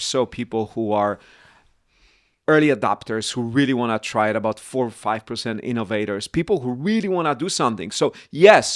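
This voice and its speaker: A man with a Polish accent at a medium pitch and moderate pace, in a very clean recording with a silent background and a dry, close sound with no echo. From Poland. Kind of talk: podcast conversation.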